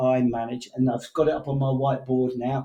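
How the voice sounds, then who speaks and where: Somewhat breathy, a man's dark, mellow voice at medium pitch comes through in an English accent. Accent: English, kept after moving to Canada. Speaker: sales executive. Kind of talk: interview conversation. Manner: halting, many fillers.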